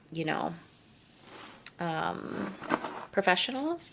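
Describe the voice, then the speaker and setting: Noticeable background noise sits behind a woman with a Canadian accent. She speaks at a medium pitch and a fairly slow pace. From eastern Canada. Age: 30s. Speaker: plant youtuber, content creator. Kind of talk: casual chatty vlog while potting plants. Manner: casual, filler-heavy.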